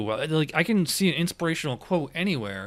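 In a normal speaking voice, a man with an American accent and fairly high pitch talks at a moderate pace in a very clean recording with a silent background. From upstate New York (Schenectady). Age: 40s. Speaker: podcast host and gig worker. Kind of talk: show sign-off; casual interview chat.

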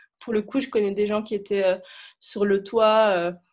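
Very slow, monotone speech from a woman at medium pitch with flat intonation. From Lebanon, Beirut. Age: 20s. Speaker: student. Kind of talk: testimony. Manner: halting.

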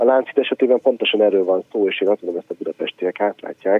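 This is an ordinary speaking voice. The pitch varies in an ordinary way. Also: man. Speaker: mayor's chief of staff. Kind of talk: radio interview.

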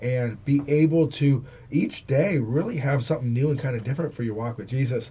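At a fairly quick pace, a man with a medium pitch and ordinary pitch variation speaks in a dark, mellow, somewhat breathy tone. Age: 40s. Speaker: pastor and co-host. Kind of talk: preaching with fervent moral conviction. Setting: studio. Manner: forceful, passionate, declarative.

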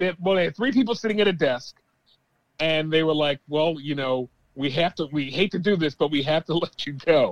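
A man with a plain, everyday voice, fairly high in pitch, at a fairly quick pace with ordinary pitch variation. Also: dry, close sound with no echo. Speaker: podcast guest, sports commentator. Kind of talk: casual sports talk.

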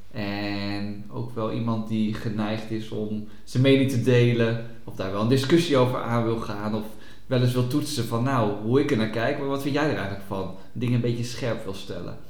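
With hardly any pauses and fairly even intonation, the voice comes through noticeable background noise and audible room echo. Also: man, medium pitch for a man, moderate pace. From Noordoostpolder, Netherlands. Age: 30s. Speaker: podcast co-host, psychologist. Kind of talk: casual chat.

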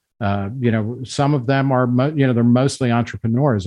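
A man with a plain, everyday voice speaks at a fairly quick pace and medium pitch, with fairly even intonation. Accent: American. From New Jersey. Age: 50s. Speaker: magazine editor. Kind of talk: podcast interview.

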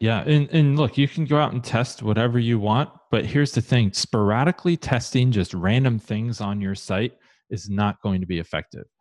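A man with an American accent talks at a moderate pace and a fairly low pitch with lively intonation, his voice dry and close with no echo over a quiet background. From Ohio, Columbus. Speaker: conversion optimization consultant. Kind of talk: interview.

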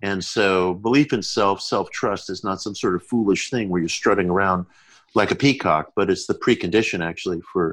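A man with a plain, everyday voice talks at a moderate pace and a fairly low pitch. His pitch variation is ordinary, and the background is quiet. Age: 50s. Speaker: author. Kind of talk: interview. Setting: remote call from home.

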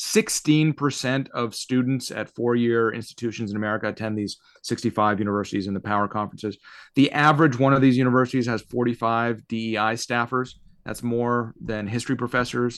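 Against a quiet background, a man with a plain, everyday voice speaks at medium pitch and a fairly quick pace with fairly even intonation. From Canada (born in Soviet Union). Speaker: constitutional lawyer. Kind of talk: interview.

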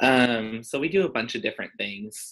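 At a moderate pace, a man with an unremarkable speaking voice talks, his pitch shifting in an ordinary way. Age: 20s. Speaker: real estate agent. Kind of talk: interview. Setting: podcast interview.

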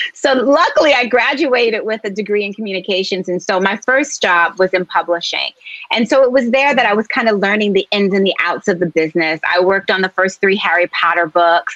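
Fairly quick, lively American-accented woman's voice at medium pitch, hardly any pauses, dry and close with no echo, amid noticeable background noise. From US Northeast, Philadelphia. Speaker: novelist. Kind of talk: interview.

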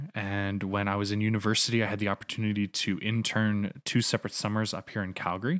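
A man with an American accent and fairly low pitch speaks very fast in a monotone, flat delivery with hardly any pauses. The sound is dry and close with no echo, on a very clean recording with a silent background. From North Carolina, US South. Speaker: video game designer. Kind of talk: casual chat. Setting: living room home setup.

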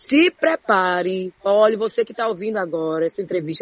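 Very wide pitch swings mark this woman's speech. Her tone is animated. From Ceará interior, Brazil (Juazeiro do Norte). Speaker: TV presenter. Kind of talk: casual interview. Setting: studio.

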